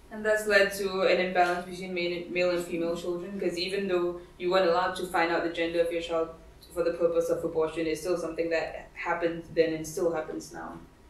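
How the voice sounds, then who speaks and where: At a fairly quick pace, a woman with a fairly low pitch speaks in a flat monotone, with audible room echo. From Singapore. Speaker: feminist writer and activist, lecturer; lecturer. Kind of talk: lecture. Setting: library event with audience. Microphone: camera far.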